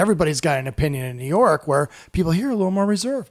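A man speaks with a US Midwestern accent. His pace is very fast and his intonation lively. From US Midwest, Iowa. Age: 40s. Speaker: stand-up comedian. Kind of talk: casual chat.

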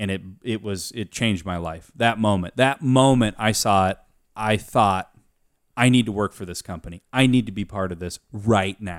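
Recorded very clean with a silent background, a man with an American accent uses a plain, everyday voice at a fairly low pitch, with ordinary pitch variation and a moderate pace. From US Pacific Northwest (Aberdeen, Washington). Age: 20s. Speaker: podcast guest, friend of host working in his company. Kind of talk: casual chat. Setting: studio with beer drinking.

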